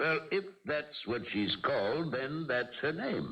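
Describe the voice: A man does a put-on character voice at a medium pitch with big pitch swings, vocal fry and a fairly bright tone. He speaks fairly slowly, and room echo is audible.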